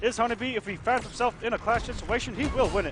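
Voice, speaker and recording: A man at an extremely high pitch and very fast pace, with music in the background. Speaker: esports commentator. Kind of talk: live commentary. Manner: animated.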